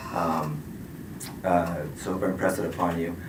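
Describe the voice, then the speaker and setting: A man speaks over noticeable background noise. The room adds an audible echo. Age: 50s. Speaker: certified responder facing a certification review. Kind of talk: statement at a hearing. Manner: fast; mumbling.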